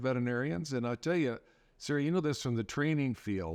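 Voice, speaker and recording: Against a quiet background, a man with an American accent and a medium pitch speaks at a very fast pace. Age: 60s. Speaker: veterinarian. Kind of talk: podcast interview.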